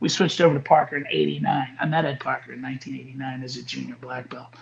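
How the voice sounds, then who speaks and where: Noticeable background noise runs through the clip. A man speaks very fast. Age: 40s. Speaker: martial arts instructor. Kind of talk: casual chat.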